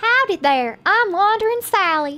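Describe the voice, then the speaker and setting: Squeaky and put-on, this character voice swings very widely in pitch at a moderate pace. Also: woman. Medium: game stream. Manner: folksy, friendly.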